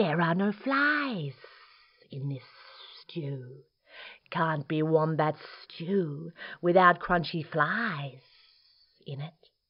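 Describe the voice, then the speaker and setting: Using a put-on character voice, a woman speaks at a very slow pace in a fairly low pitch with ordinary variation, big swings in loudness, long and frequent pauses, and some hissing. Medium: read story.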